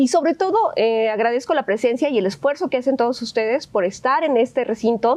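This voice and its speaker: A woman at a moderate pace with lively intonation over noticeable background noise. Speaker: legislator. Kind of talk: panel discussion. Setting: auditorium with student audience. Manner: hesitant, many fillers.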